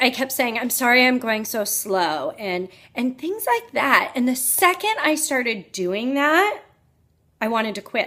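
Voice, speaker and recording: Loud and bright, sharp in tone, a woman speaks at a fairly slow pace. Her high pitch makes very wide swings. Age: 40s. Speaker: health coach. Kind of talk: personal vlog talk. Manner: loud and boisterous.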